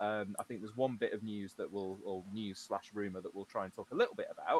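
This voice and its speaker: A man with an English accent at a very fast pace. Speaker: podcast host. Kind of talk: casual chat. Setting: livestream from home. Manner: quiet. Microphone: USB mic, too quiet.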